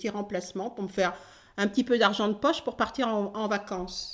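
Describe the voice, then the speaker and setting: A woman speaks with ordinary pitch variation. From French Caribbean (Antilles). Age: 60s. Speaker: retired nurse. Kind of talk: interview testimony. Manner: halting, many hesitations.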